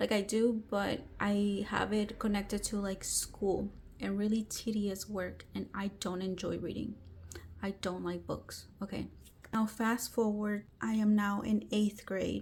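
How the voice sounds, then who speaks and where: Here a woman speaks with a Spanish accent. She talks at a fairly slow pace. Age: 30s. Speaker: book vlogger. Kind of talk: personal storytelling vlog. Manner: casual, with fillers and false starts.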